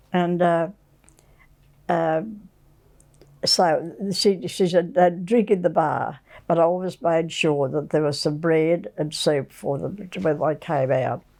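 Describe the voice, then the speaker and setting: A woman's very slow, dark, mellow voice in an Australian accent, fairly low in pitch, with ordinary pitch variation and long, frequent pauses. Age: 80s+. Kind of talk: interview answer. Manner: charming, humorous.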